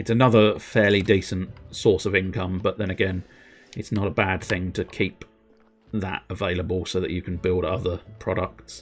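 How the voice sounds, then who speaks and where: A man speaks in a raspy, put-on character voice with a very deep, low pitch. His intonation is fairly even at a moderate pace, with music in the background. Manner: ominous.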